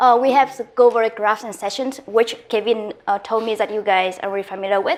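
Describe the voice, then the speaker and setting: With a Vietnamese accent, a woman speaks at a fairly high pitch with fairly even intonation. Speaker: guest lecturer. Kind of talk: lecture. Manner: fast; halting, many fillers.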